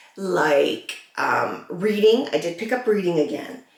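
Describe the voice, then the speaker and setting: A woman at a medium pitch with lively intonation and audible room echo. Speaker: vlogger with cancer. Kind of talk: get-ready-with-me vlog. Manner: slow, slightly slurred; halting, searching for words.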